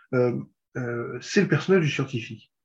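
A man's somewhat breathy voice carries lively intonation at a moderate pace. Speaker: podcast host. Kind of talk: interview. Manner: halting.

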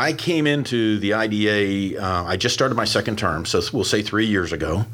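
This man has a plain, everyday voice with an American accent, fairly low pitch, ordinary pitch variation and a moderate pace. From Pittsburgh, US. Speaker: garage door business owner, industry association leader. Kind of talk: podcast interview. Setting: studio.

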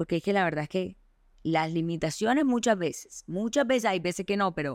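In an ordinary speaking voice, a woman talks at medium pitch with lively intonation on a very clean recording with a silent background. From Colombia, Barranquilla. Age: 30s. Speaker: podcast host. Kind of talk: casual chat.

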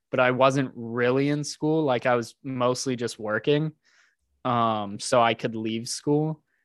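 A man with a normal speaking voice and an American accent talks at a fairly slow pace with a medium pitch. His intonation is fairly even, in a dry, close sound with no echo. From Texas, Houston. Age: 20s. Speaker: entrepreneur. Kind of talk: casual chat.

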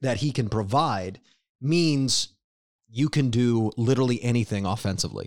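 A man's plain, everyday voice at a medium pitch, with lively intonation, on a very clean recording with a silent background. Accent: American. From Cincinnati, Ohio. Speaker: podcast host. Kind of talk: casual chat. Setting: studio.

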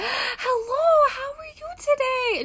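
A female-sounding, put-on character voice pitched extremely high for a woman comes through over clear background noise. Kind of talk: casual greeting. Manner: friendly, warm.

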